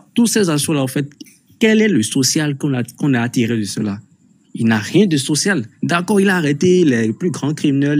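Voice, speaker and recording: An unremarkable speaking voice from a man, fairly high-pitched, with lively intonation and big swings in loudness at a moderate pace. The recording is very clean, with a silent background. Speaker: participant in live online discussion. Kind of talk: heated debate.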